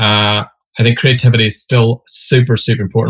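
A man's somewhat breathy, monotone, flat voice with a Derry accent, dry and close with no echo. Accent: Northern Irish (Derry). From Northern Ireland, Derry. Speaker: advertising creative director. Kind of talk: casual interview.

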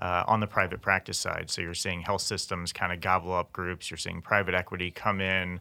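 Speaking at a fairly quick pace, a man with an American accent has a very deep, low pitch. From US South, Memphis, Tennessee. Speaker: healthcare company CEO. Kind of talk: interview. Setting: studio. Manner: hesitant, many fillers.

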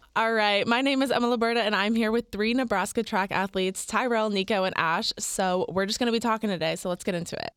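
A woman with an American accent speaks very fast in a fairly high voice with fairly even intonation, on a very clean recording with a silent background and a dry, close sound with no echo. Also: hardly any pauses. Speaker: student podcast host. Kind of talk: casual chat.

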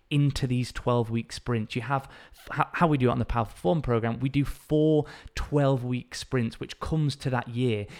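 Speaking at a moderate pace with a northern English accent, a man keeps a medium pitch and fairly even intonation. The recording is very clean, with a silent background. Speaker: fitness coach and podcast host. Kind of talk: solo educational talk.

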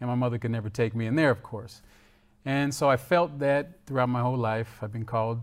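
Speaking with an American accent, a man with an ordinary speaking voice talks at a fairly quick pace, with medium pitch and fairly even intonation. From Florida, US. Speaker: former follower of a religious movement. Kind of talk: testimony.

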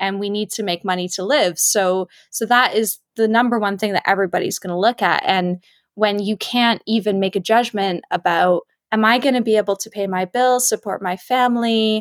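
A woman with a Canadian accent and an ordinary speaking voice talks at a moderate pace and medium pitch with fairly even intonation. The recording is very clean and dry, close with no echo, against a silent background. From Canada. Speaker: museum labor campaigner. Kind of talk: casual chat.

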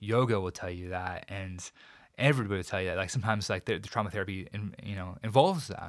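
A man speaks at a very fast pace in a fairly low pitch, with ordinary pitch variation, on a very clean recording with a silent background. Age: 40s. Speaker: triathlon coach and suicide survivor. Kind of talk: interview testimony. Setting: studio. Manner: halting, repeats words.

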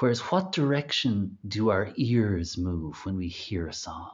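A man speaks in an Irish accent. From Ireland. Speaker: singer. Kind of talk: interview conversation.

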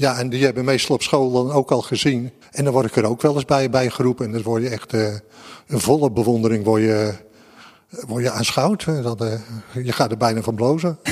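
Fairly even intonation carries a fairly quick pace over noticeable background noise. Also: man, medium pitch for a man. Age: 60s. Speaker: museum security guard. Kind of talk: interview.

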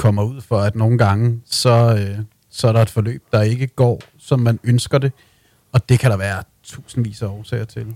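The man's dark, mellow voice sits at a medium pitch with fairly even intonation. He speaks at a fairly slow pace, and the sound is dry and close with no echo. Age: 30s. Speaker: music PR agency owner. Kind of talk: interview. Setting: studio.

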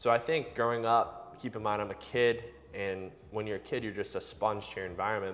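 A man with an American accent, an ordinary speaking voice, medium pitch, fairly even intonation and a fairly quick pace. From US, Boston area. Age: 20s. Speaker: breathwork instructor. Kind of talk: casual interview.

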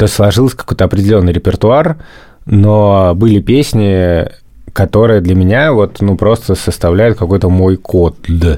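Here is a normal speaking voice at a moderate pace, with ordinary pitch variation and very even loudness. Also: man, fairly low pitch for a man. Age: 30s. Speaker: podcast host, father of three. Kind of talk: casual chat.

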